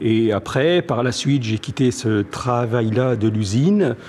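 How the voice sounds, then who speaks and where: Medium in pitch, a man's voice shows ordinary pitch variation. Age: 60s. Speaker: music shop owner. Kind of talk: interview. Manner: halting, many hesitations.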